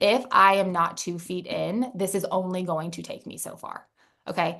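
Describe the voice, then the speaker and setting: Bright, sharp tone with big swings in loudness, fairly even intonation and a moderate pace. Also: woman, medium pitch for a woman. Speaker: network marketing team leader. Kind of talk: motivational talk.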